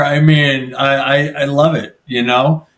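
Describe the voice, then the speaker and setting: A man is speaking. He has an American accent. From New Jersey. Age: 40s. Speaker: personal injury lawyer. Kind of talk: podcast interview. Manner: casual, halting with repeated words.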